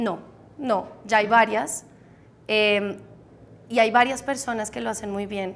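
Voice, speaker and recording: The delivery is very slow, with fairly even intonation, long, frequent pauses and big swings in loudness. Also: woman, fairly high pitch for a woman. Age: 30s. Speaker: meditation teacher and entrepreneur. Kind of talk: interview.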